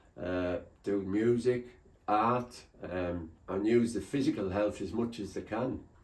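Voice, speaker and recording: This man's fairly low voice moves at a very slow pace with ordinary pitch variation. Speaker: mental health ambassador, ex-addict. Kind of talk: testimony. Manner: loud; hesitant with fillers.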